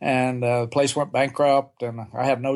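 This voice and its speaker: A man speaks at medium pitch with an American accent. His intonation is monotone and flat. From Oklahoma. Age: 70s. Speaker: retired theme park executive and business speaker. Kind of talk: interview.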